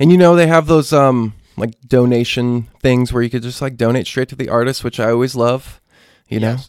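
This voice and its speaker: With an American accent and a normal speaking voice, a man talks at a fairly quick pace in a medium pitch with fairly even intonation. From central Maine, US. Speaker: singer-songwriter. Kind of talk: casual chat. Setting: band practice space.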